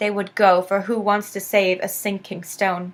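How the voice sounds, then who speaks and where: At a medium pitch and moderate pace, a woman speaks in an unremarkable speaking voice. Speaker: spoken word poet. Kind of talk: spoken word poetry performance.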